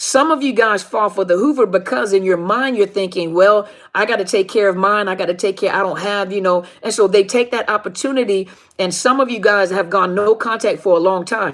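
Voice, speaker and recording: At a fairly quick pace, a woman uses a normal speaking voice at medium pitch with ordinary pitch variation. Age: middle-aged. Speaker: life coach on narcissistic abuse. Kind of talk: live stream talk to viewers. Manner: informal, conversational.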